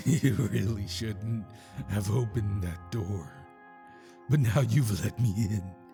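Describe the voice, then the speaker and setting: A man's raspy put-on character voice, fairly low in pitch and fairly slow in pace, with clear music in the background. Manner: menacing, cackling.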